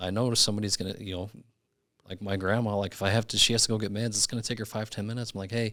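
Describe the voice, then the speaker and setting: Talking at a very fast pace, a man with a fairly low pitch, a bright, sharp tone and ordinary pitch variation is heard on a very clean recording with a silent background. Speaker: insurance agent manager. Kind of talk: casual podcast chat.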